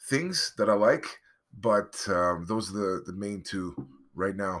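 Here a man speaks at a fairly slow pace with a fairly low pitch and a bright, sharp tone. The recording is very clean, with a silent background. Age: 40s. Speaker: podcaster and game streamer. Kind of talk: casual solo monologue. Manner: hesitant, many fillers.

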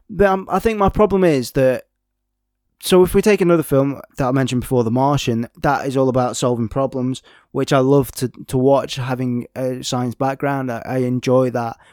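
In a very clean recording with a silent background and a dry, close sound with no echo, a man with a British accent talks at a moderate pace in a fairly high pitch with ordinary pitch variation. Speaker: film podcast host. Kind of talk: solo podcast monologue. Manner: halting, many fillers.

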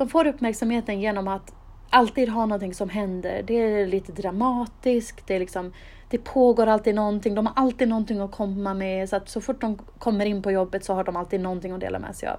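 A woman speaks at a fairly quick pace in an ordinary speaking voice, with medium pitch and fairly even intonation. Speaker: podcast host. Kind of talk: solo monologue giving advice.

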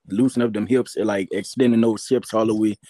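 Recorded very cleanly against a silent background, with a dry, close sound and no echo, a man talks at a medium pitch in a dark, mellow tone. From Louisiana (Jennings). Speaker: college football running back. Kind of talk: casual interview.

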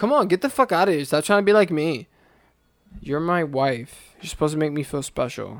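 The recording is very clean, with a silent background, and a man with an American accent speaks at a fairly quick pace. He has a plain, everyday voice, fairly high pitch and lively intonation. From US, urban neighborhood. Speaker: podcast co-host. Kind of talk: casual chat.

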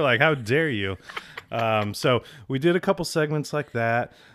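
With an American accent, a man speaks at a medium pitch using lively intonation in an unremarkable speaking voice. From Southern California. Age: 30s. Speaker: podcaster. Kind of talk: casual chat. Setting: studio.

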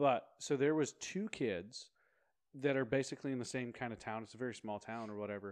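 In an unremarkable speaking voice, a man talks at a moderate speed, his mid-range pitch varying in a normal way. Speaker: podcast co-host. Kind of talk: casual chat.

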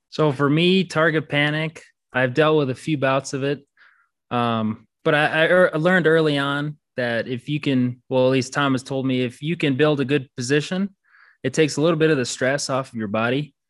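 Over a quiet background, a man with an unremarkable speaking voice talks at a moderate pace, his fairly high pitch kept to fairly even intonation. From Minnesota, US Midwest. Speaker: competitive archer. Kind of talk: casual interview.

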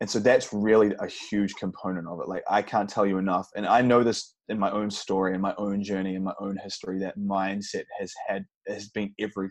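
Against a quiet background, a man with a fairly low pitch speaks fairly quickly in a monotone, flat delivery with hardly any pauses. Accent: New Zealand. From New Zealand. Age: 30s. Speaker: vegan bodybuilder and fitness coach. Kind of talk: interview.

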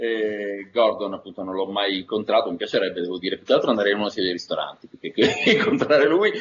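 Noticeable noise fills the background. Over it, a man talks very fast. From northern Italy, Turin. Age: 50s. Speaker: voice actor.

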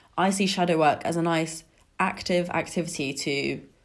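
Heard on a very clean recording with a silent background, a woman has an unremarkable speaking voice. Her pitch is fairly low and her intonation fairly even. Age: 20s. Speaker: podcast host. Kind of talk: solo podcast monologue. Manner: casual, conversational.

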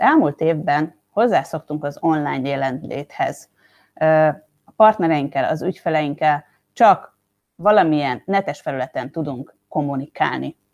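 A woman with a very deep, low pitch speaks at a fairly slow pace with ordinary pitch variation and big swings in loudness. The background is quiet. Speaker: podcast host. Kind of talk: interview.

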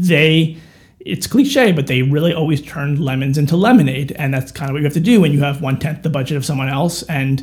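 A man with an American accent speaks at a moderate pace. His voice is fairly high and somewhat breathy, with ordinary pitch variation. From New York suburbs (Chappaqua). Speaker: author and filmmaker. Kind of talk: casual interview chat. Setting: studio.

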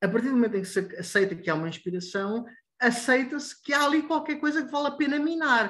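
An extremely high-pitched man with a European Portuguese accent, bright and sharp in tone, lively in intonation, at a very fast pace. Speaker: student magazine editor. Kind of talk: online editorial meeting. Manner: halting, many fillers.

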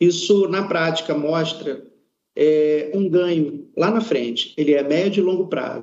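Fairly slow, high-pitched male speech with ordinary pitch variation. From Amazonas, Brazil. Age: 40s. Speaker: product management employee. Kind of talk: corporate panel discussion. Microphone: connection delay.

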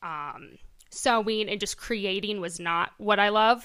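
Very clean, with a silent background, the recording captures a woman's bright, sharp tone. Her pitch is medium, with ordinary variation. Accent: Midwestern American. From Iowa, US Midwest. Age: 20s. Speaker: boutique owner. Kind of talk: casual interview.

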